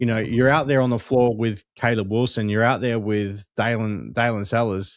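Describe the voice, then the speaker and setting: A man with a medium-pitched voice and an Australian accent, at a moderate pace with fairly even intonation. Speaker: basketball podcast co-host. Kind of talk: casual chat.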